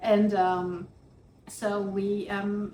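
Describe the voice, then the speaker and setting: The speaker has a French accent. Noticeable background noise and audible room echo fill the recording. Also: woman. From France. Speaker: professor and author. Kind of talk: interview.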